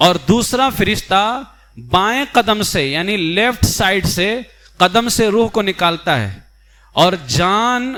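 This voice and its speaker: Raised and projected, a man's voice rings out at a high pitch. The tone is bright and sharp, with ordinary pitch variation. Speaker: Islamic scholar (mufti) giving a religious lecture. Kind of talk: Urdu religious lecture explaining death and the afterlife.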